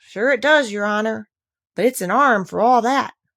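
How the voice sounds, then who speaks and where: A female-sounding put-on character voice, fairly high in pitch, speaks at a moderate pace. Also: very clean recording, silent background. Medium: read story. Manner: deferential, says 'your honor'.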